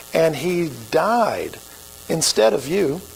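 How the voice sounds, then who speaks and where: Noticeable background noise and audible room echo accompany this recording. A man with an American accent speaks in a high pitch with lively intonation. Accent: Oklahoma redneck. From Oklahoma. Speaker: pastor. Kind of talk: sermon. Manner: casual, conversational.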